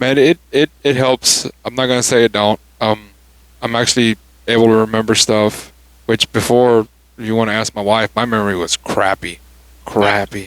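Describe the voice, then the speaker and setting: Quiet and at medium pitch, a man speaks with a dry, close sound and no echo. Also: fairly even intonation, moderate pace. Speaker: podcast host. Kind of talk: casual chat. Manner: halting.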